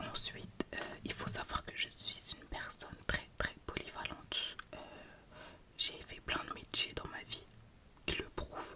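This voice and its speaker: Noticeable background noise runs under a whispering voice. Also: woman. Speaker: ASMR creator. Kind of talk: casual talk to camera, ASMR-style whispered introduction. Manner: whispered, soft-spoken.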